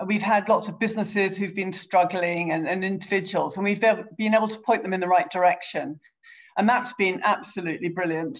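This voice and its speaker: This woman has a plain, everyday voice at medium pitch. She talks at a fairly quick pace with fairly even intonation. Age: 50s. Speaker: politician. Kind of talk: interview.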